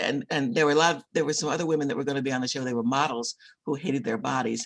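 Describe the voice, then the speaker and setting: A woman rattles along at a very fast pace with lively intonation. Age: 70s. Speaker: author and book publisher. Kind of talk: interview. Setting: video call.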